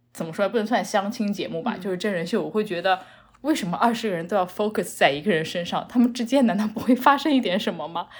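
Amid noticeable background noise, a woman with a medium-pitched voice talks very fast with lively intonation. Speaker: podcast guest. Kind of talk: casual chat.

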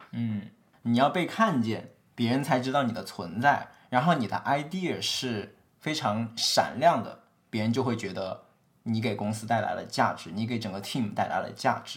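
A man talks at a moderate pace in an ordinary speaking voice of medium pitch, recorded very cleanly against a silent background. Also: ordinary pitch variation. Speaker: podcast co-host, tech worker. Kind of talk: casual chat.

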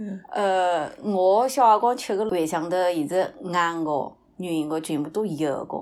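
Hardly any pauses interrupt this woman's very slow pace. Her medium-pitched voice shows ordinary pitch variation. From Shaoxing city (Yuecheng district), Zhejiang. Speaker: podcast guest. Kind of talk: casual chat.

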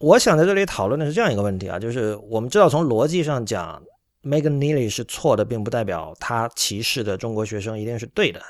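Over a silent background in a very clean recording, a man talks at a very fast pace with lively intonation and medium pitch. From China. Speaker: podcast host. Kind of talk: solo commentary monologue. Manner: frequent filler hesitations.

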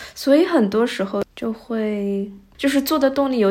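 The woman talks very slowly, her pitch rising and falling in an ordinary way. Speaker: podcast host, daughter. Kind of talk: casual chat.

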